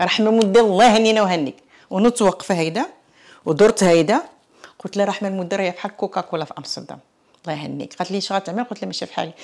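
A woman with a medium pitch, an animated tone, ordinary pitch variation and big swings in loudness at a very fast pace. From Morocco, Tangier; Morocco. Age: 60s. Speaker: author and immigrant; interviewee. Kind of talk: interview testimony. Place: home room. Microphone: lapel.

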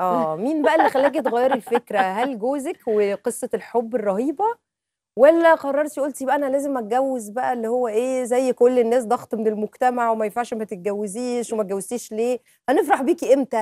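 A woman with an Egyptian accent speaks at a moderate pace and a high pitch, in a dark, mellow tone with ordinary pitch variation and hardly any pauses. The background is quiet and the sound is dry with no echo. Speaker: TV presenter. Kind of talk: TV talk show interview questions. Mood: playful, chatty. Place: studio. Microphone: lapel.

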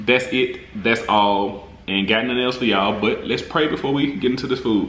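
There is audible room echo around the voice. A man talks at a moderate pace. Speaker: food vlogger. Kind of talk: casual vlog chat. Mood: reverent during prayer. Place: home room.

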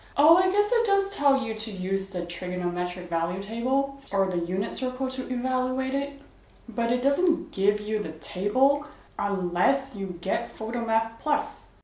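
A woman talks at a moderate pace, with room echo clearly audible. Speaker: math tutor reviewing apps. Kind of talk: tutorial review commentary. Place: home room.

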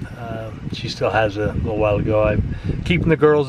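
A man's medium-pitched voice, dry with no echo, over loud background noise. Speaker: lifestyle vlogger. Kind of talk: casual vlog. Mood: calm, hopeful waiting. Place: car. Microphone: phone near.

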